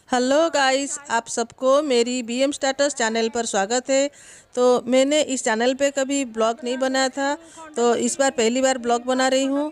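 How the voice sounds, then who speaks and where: In a flat monotone, a woman speaks at a high pitch. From Odisha, India. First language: Odia (speaking Hindi). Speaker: travel vlogger. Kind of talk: travel vlog narration. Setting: outdoors. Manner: halting, with frequent fillers.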